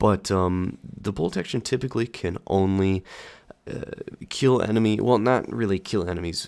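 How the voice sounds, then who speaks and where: A man with a very deep, low pitch talks at a moderate pace with ordinary pitch variation, on a very clean recording with a silent background. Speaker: gaming commentator. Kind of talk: gameplay commentary. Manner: casual.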